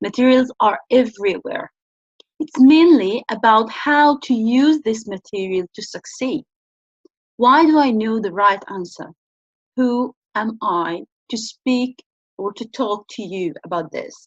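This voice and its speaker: A woman with an Arabic accent speaks at a fairly slow pace with big swings in loudness, in a dry, close sound with no echo. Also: fairly high pitch for a woman, lively intonation. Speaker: business researcher and channel host. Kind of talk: talk-to-camera tutorial.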